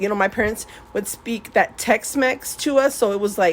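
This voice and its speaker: Ordinary pitch variation at a moderate pace over noticeable background noise. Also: woman. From US military family, mainly San Antonio, Texas. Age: 40s. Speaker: nail art YouTuber. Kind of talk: casual personal storytelling. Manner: rambling, fillers and restarts.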